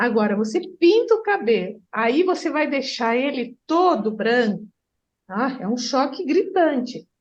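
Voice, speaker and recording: Speaking at a fairly slow pace, a woman with a high voice makes very wide pitch swings. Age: 60s. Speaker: therapist. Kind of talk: group discussion.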